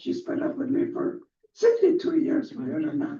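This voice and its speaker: Speaking with an American accent, a man uses an extremely high pitch with fairly even intonation at a moderate pace, with audible room echo. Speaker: pastor. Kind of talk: public comment at city council. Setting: city council meeting. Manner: halting.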